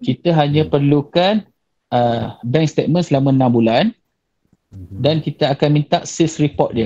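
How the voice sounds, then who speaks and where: The man's voice has a dark, mellow tone, is somewhat breathy, and carries lively intonation. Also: moderate pace. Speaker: bank officer. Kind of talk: webinar presentation. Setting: video call. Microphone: video call.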